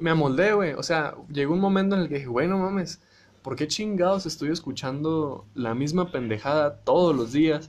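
A man speaks with a Mexican accent at a moderate pace. His pitch is fairly high. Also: ordinary pitch variation. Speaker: podcast host. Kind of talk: casual monologue. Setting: live audio stream. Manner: animated.

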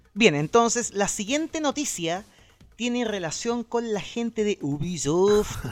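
Speaking at a fairly slow pace, a man with a high pitch uses lively intonation, recorded with a dry, close sound and no echo. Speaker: video game news podcast host. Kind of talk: casual chat. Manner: loud.

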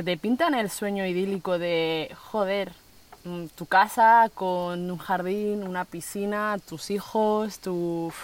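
A woman's medium-pitched voice, a normal speaking voice with ordinary pitch variation. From Spain (raised from age 7, born in Colombia). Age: 20s. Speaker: social worker, van-life traveller. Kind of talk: interview conversation. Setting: outdoors on a rural plot.

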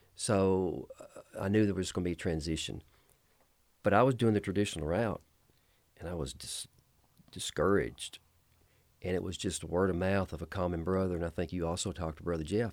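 A man's very deep, low voice at a fairly quick pace with long, frequent pauses, on a very clean recording with a silent background. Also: ordinary pitch variation. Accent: Southern US. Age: 50s. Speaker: pastor. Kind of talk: casual interview. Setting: studio.

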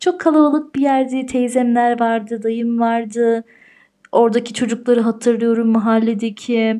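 A woman speaks in a high pitch with a dark, mellow tone. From Austria (Tyrol). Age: 30s. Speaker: podcast host. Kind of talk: solo monologue podcast.

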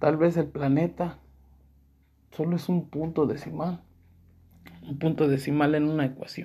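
A man with a fairly high pitch and a dark, mellow tone speaks fairly slowly in a somewhat breathy, flat monotone, with long, frequent pauses. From Mexico, León, Guanajuato. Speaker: podcaster. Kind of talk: personal monologue of reflections.

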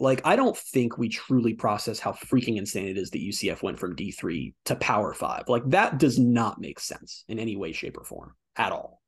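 Here a man is speaking at a medium pitch. His pace is fairly quick. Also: hardly any pauses, big swings in loudness. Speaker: sports podcast host. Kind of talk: casual sports chat. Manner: animated, fast back-and-forth.

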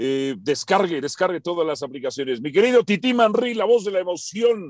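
Speaking at a fairly quick pace, a man sounds animated, his pitch swinging very widely. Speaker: sports radio host. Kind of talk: sports talk radio debate. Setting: radio studio.

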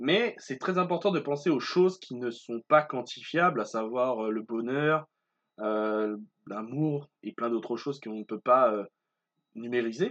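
A man speaks at a fairly slow pace with lively intonation and a medium pitch, his voice dry and close with no echo over a quiet background. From Martinique. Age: 20s. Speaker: podcaster and student. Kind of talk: solo podcast monologue. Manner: hesitant, many fillers.

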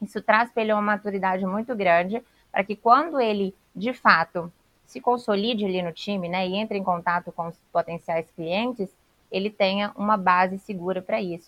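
With a plain, everyday voice, a woman talks at a medium pitch and a moderate pace, with ordinary pitch variation in a dry, close sound with no echo. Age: 20s. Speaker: sales director and trainer. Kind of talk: podcast interview.

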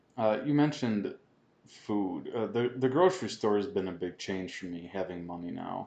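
A man talks in a normal speaking voice at a fairly low pitch. His pace is moderate and his intonation lively. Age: 30s. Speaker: podcast co-host. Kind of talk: casual chat.

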